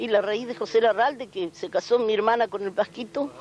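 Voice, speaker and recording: A woman speaks in a rural Rioplatense accent at a fairly high pitch. Her moderate pace is heard over noticeable background noise. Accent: rural Argentine Rioplatense Spanish. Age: 70s. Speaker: aunt of a folk singer. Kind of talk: interview. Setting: at her family home. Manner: halting.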